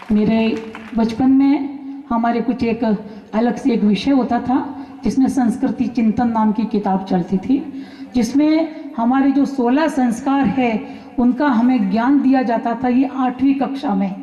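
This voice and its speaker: Speaking with fairly even intonation and very even loudness, a woman with a high pitch is heard over noticeable background noise. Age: 60s. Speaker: attendee giving feedback. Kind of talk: speech at a camp.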